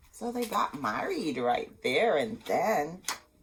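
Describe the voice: A woman talks at a slow pace, her pitch fairly low with big swings up and down. Vocal fry and a husky, rough edge mark her voice.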